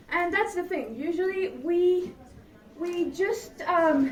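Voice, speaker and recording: Fairly slow speech with audible room echo. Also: woman. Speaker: public speaker. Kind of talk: presentation. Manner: animated.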